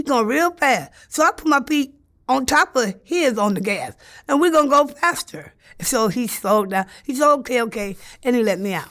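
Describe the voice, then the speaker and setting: Recorded very cleanly against a silent background, a woman with an American accent speaks at a moderate pace in a high voice with very wide pitch swings. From Los Angeles. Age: 60s. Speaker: sex worker. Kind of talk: interview answer.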